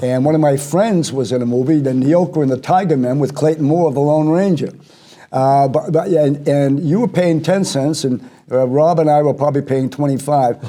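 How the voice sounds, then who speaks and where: A man speaks at a moderate pace with a dark, mellow tone, fairly high pitch, ordinary pitch variation and very even loudness. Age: 70s. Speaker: talk show co-host. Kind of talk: interview. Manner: halting.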